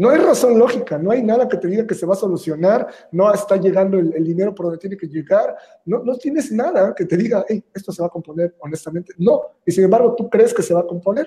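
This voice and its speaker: A man with a Mexican accent, high in pitch, dark and mellow in tone, lively intonation at a very fast pace. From Mexico, Veracruz. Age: 30s. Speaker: entrepreneur. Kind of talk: interview.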